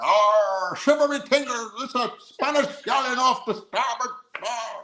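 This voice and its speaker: A man uses a put-on character voice pitched extremely high, speaking at a fairly slow pace. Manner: exaggerated, playful.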